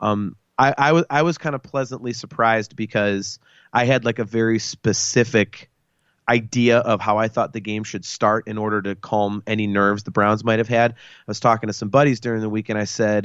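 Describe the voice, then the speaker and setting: This man speaks at a fairly quick pace with a medium pitch and fairly even intonation. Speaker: sports podcast co-host. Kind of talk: casual chat. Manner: loud.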